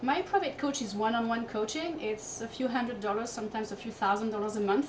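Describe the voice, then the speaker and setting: With a Corsican accent, the speaker talks at a fairly quick pace with ordinary pitch variation over noticeable background noise. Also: woman. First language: French. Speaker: fitness coach and entrepreneur. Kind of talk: interview.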